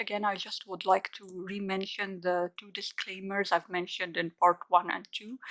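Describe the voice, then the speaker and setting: Her sound is dry and close, with no echo. The woman speaks with a non-native accent at a medium pitch and a moderate pace. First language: not English. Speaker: coloring book youtuber. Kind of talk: product showcase. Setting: at home, dining table. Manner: hesitant, many fillers.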